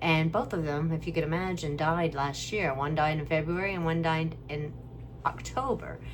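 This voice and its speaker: Ordinary pitch variation at a moderate pace, with audible room echo. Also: woman, very deep, low pitch for a woman. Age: 60s. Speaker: family caregiver vlogger. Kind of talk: casual vlog monologue. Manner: halting, conversational.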